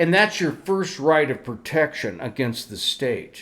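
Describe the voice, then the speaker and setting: A man's fairly high voice in an animated tone. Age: 60s. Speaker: podcast co-host. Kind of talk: casual chat.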